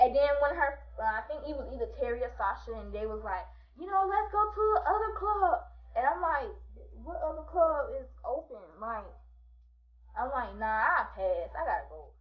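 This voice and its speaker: An animated woman speaks at a moderate pace with big swings in loudness. Audible room echo surrounds her voice. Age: 20s. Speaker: vlogger. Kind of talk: storytime monologue.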